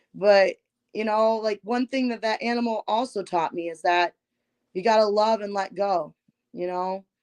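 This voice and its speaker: An ordinary speaking voice with an American accent keeps a fairly even intonation, in a dry, close sound with no echo. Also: woman, medium pitch for a woman, moderate pace. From Michigan. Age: 30s. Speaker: musical artist. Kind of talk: interview. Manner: casual.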